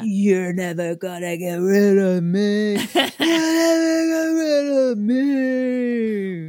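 A put-on character voice with a menacing tone and fairly high pitch, delivered at a very slow pace with hardly any pauses. Noticeable background noise sits behind it. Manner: menacing, yelling.

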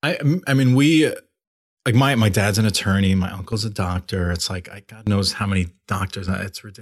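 A man with an ordinary speaking voice talks at a fairly quick pace, his pitch fairly low with ordinary variation. The recording is very clean, with a silent background. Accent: American. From Long Island, New York. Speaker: coffee shop co-founder. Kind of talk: interview. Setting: studio.

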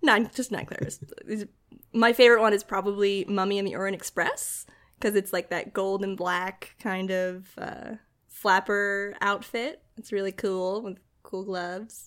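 A woman with an American accent speaks at a moderate pace, her pitch medium and her intonation fairly even. She has a plain, everyday voice, recorded very cleanly against a silent background. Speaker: comedian and writer. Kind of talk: casual chat. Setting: host's home.

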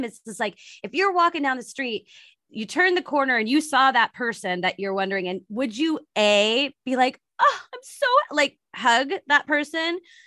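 At a moderate pace and with an American accent, the speech makes very wide pitch swings in a dry, close sound with no echo. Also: woman. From US West Coast, San Francisco Bay Area. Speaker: wedding planner, podcast host. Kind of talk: casual interview chat.

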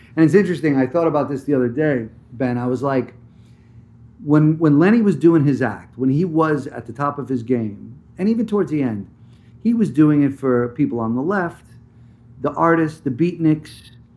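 A man with an American accent speaks at a moderate pace, his pitch fairly high and his tone dark and mellow. His intonation is lively. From New Jersey. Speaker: actor. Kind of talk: interview.

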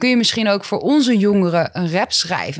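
A woman at a very fast pace. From Netherlands, Groningen province. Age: 20s. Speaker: rapper and psychologist. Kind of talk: casual interview. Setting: office.

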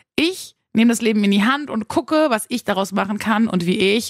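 An unremarkable speaking voice from a woman, fairly quick and with lively intonation, on a very clean recording with a silent background. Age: 30s. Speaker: radio host and podcast host. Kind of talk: podcast monologue.

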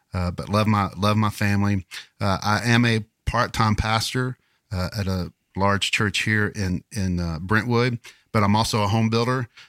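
A man with a fairly low pitch and a Southern US accent, at a moderate pace with fairly even intonation, on a very clean recording with a silent background. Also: dry, close sound with no echo. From Kentucky. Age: 50s. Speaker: podcast co-host. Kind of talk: casual chat.

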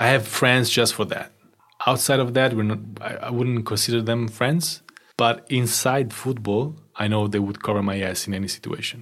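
The speaker has an Italian accent. The pace is moderate. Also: man, medium pitch for a man. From northern Italy. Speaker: photographer. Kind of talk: casual chat. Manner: animated.

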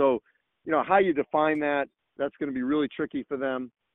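The delivery is fairly quick. It is a normal speaking voice, and the pitch varies in an ordinary way. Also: man. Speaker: college sports journalist. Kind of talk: casual interview.

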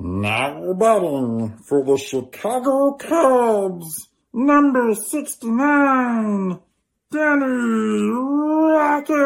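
In a put-on character voice, a female-sounding speaker talks very slowly at a fairly high pitch.

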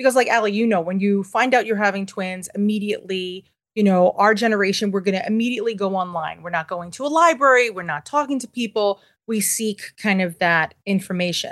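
A woman with a New York accent at medium pitch, ordinary pitch variation and a fairly quick pace, over a quiet background. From New York City (Manhattan). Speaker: parenting resource founder and author. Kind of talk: interview conversation.

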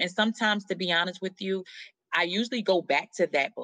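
A woman with an American accent and a fairly low pitch speaks at a fairly quick pace in a bright, sharp tone, the sound dry and close with no echo over a quiet background. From New Jersey. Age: 30s. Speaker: comedian. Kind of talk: interview.

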